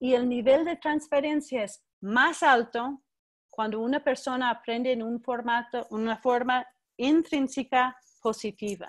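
Over a quiet background, a woman with an American accent speaks fairly slowly at a high pitch with fairly even intonation. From US West Coast, Berkeley, California; California. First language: English (speaking Spanish). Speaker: education researcher and professor; guest lecturer. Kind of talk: keynote lecture. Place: home room. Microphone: video call.

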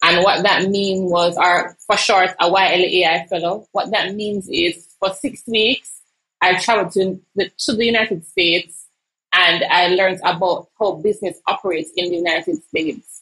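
Her tone bright and sharp, a woman speaks at a moderate pace with fairly even intonation over a quiet background. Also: medium pitch for a woman. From Jamaica. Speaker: entrepreneur. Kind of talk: interview. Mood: earnest, reflective. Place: home room. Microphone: earbuds.

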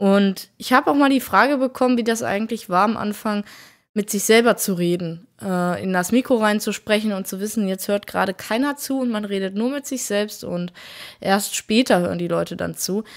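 In a quiet background, a woman speaks at a medium pitch. Her pace is moderate, and her pitch varies in an ordinary way. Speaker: gaming YouTuber. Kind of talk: casual commentary over gameplay video. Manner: animated. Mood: reflective, calm. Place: home room.

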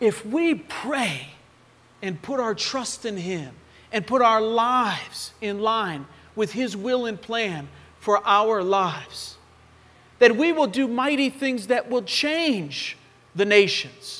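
With an American accent, a man talks very slowly in a high pitch, his intonation lively and his tone bright and sharp. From western Pennsylvania (Oakmont, near Pittsburgh); Pennsylvania. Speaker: missionary preacher. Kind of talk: sermon. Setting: church. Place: church.

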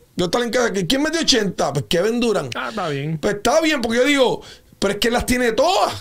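Against a quiet background, a man with an extremely high pitch speaks at a moderate pace in an animated tone, his pitch swinging very widely. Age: 50s. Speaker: basketball analyst. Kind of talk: sports talk show discussion. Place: studio. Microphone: studio mic.

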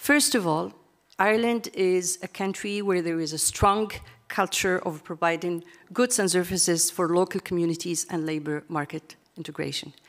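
A woman speaks with a fairly low pitch and ordinary pitch variation. Faint music plays in the background. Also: moderate pace. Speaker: international policy analyst. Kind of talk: conference presentation. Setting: stage with audience. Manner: halting, many fillers. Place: hall. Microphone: podium.

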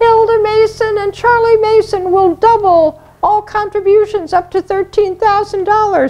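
Using a put-on character voice, a woman talks at an extremely high pitch and a fairly slow pace, with hardly any pauses.

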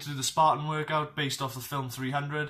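The background stays quiet. A man speaks with monotone, flat intonation. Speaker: fitness vlogger. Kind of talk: casual vlog chat. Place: home room. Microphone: webcam.

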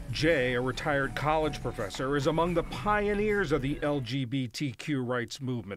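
A man speaks with lively intonation at a moderate pace in a plain, everyday voice, recorded very cleanly against a silent background. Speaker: news reporter.

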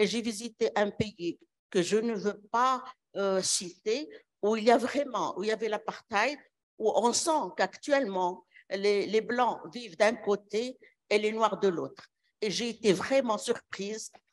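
A woman with a fairly high pitch talks at a very slow pace. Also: ordinary pitch variation. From Morocco. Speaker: physician in audience; audience member. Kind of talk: audience question. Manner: halting. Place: hall. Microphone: handheld.

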